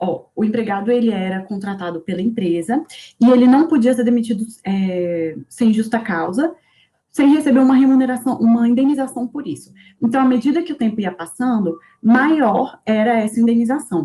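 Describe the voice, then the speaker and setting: Her voice is fairly high for a woman yet dark and mellow in tone, with lively intonation. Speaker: teaching assistant. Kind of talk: lecture. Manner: fast; halting.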